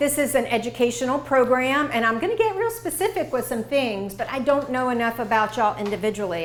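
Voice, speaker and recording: With an American accent, a woman speaks at a high pitch and moderate pace with lively intonation, amid noticeable background noise and audible room echo. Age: 60s. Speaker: dietitian. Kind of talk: lecture.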